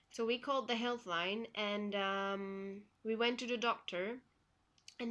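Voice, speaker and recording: With a Flemish accent, a woman talks at a fairly slow pace in a bright, sharp tone. Her pitch is fairly high and her intonation fairly even. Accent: Belgian (Flemish) accent in English. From Belgium. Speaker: vlogger sharing personal health story. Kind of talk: personal testimony vlog. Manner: hesitant, many fillers.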